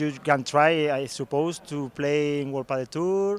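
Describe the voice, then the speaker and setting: A man's fairly high voice with a Spanish accent, fairly slow and fairly even in intonation, in a dry, close sound with no echo. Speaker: interviewer. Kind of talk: interview. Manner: halting non-native English.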